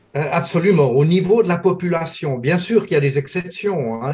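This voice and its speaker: A man's somewhat breathy voice. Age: 70s. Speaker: professor and metabolism researcher. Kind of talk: interview.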